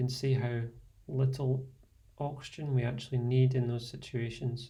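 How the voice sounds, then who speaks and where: In a Scottish accent, a man speaks at a medium pitch with a dark, mellow tone, somewhat breathy and in a flat monotone. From Scotland. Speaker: fitness and meditation instructor. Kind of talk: guided meditation. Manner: slow, soft-spoken.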